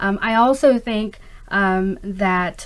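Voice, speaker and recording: A woman talks in a normal speaking voice with fairly even intonation. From US, immigrated from Pakistan at age five. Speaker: skincare company founder. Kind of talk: interview. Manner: frequent fillers, um and uh.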